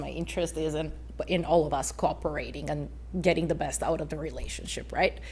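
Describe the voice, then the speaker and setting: In a room with audible echo, a woman with a non-native accent talks at a fairly quick pace. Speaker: waste company representative. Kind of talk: council presentation. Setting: city council meeting. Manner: hesitant, many fillers.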